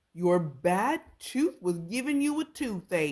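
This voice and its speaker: Putting on a character voice, a woman speaks at medium pitch and a fairly slow pace, her pitch swinging very widely. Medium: read story.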